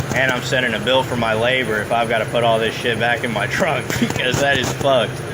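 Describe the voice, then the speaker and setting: At a fairly quick pace with hardly any pauses, a man talks at medium pitch with fairly even intonation, amid audible room echo and noticeable background noise. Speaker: driver in police stop. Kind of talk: heated argument. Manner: loud.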